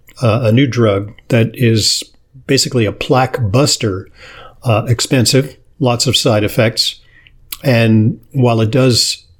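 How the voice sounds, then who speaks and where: The man's voice is somewhat breathy. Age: 60s. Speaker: podcast and radio host, physician. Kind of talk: interview. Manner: hesitant, many fillers.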